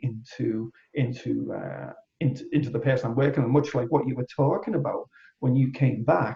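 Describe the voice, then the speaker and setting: In a Liverpool accent, the speaker moves at a fairly quick pace with ordinary pitch variation. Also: man. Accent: Liverpudlian. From England, Liverpool. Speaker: energy healer. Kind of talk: casual interview chat.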